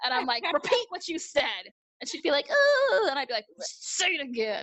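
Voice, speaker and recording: Loud and animated, a woman speaks at a moderate pace in an extremely high pitch with very wide pitch swings. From New York, Brooklyn. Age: 30s. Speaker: reality TV personality and model. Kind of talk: casual chat. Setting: video call.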